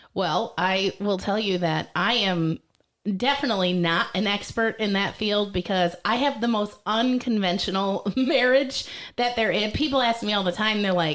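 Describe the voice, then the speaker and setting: A woman with an American accent uses an ordinary speaking voice at a moderate pace. Her loudness stays very even, and her pitch varies in an ordinary way. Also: medium pitch for a woman. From Michigan (Millington, small farm town). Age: 30s. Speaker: stand-up comedian. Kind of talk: casual chat.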